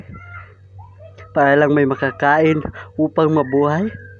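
Through noticeable background noise, a man with a fairly high pitch speaks at a moderate pace. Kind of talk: spoken word poetry; spoken word poem in Tagalog, performed in the voice of an orphaned child. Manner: emotional, pained and pleading, with rhetorical questions; dramatic delivery with pauses, building to a bitter, resigned final line.

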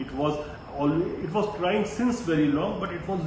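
A man with a fairly high voice speaks at a fairly slow pace, with noticeable background noise and audible room echo. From India. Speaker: geopolitics commentator. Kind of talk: solo commentary video. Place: home room. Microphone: phone near.

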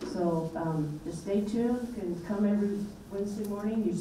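Against light background noise and audible room echo, a woman speaks with fairly even intonation. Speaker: host. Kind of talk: event introduction speech. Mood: light, humorous.

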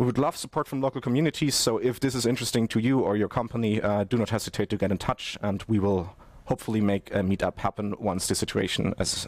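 In a quiet, dry recording with no echo, a man with a fairly low pitch and an unremarkable speaking voice talks at a fairly quick pace with ordinary pitch variation. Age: 20s. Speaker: network architect; conference presenter. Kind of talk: conference presentation. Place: studio.

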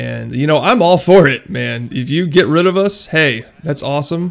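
With ordinary pitch variation, an ordinary speaking voice talks at a moderate speed. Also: man. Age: 20s. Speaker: YouTuber and police officer. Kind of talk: casual vlog monologue. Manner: casual, filler-heavy.

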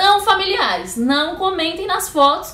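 Audible room echo surrounds a woman who speaks at a moderate pace in an animated tone, her pitch swinging very widely. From Brazil. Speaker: YouTuber. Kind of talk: casual vlog monologue. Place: home room. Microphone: webcam.

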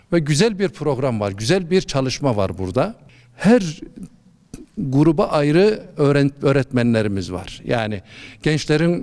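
A man talks in a normal speaking voice at a moderate pace. His intonation is lively. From Malatya, eastern Turkey. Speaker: imam. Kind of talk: interview.

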